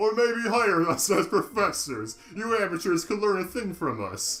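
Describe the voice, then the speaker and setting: Using a put-on character voice, a man speaks at a high pitch with ordinary pitch variation. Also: moderate pace. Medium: game stream. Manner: cocky, sneering.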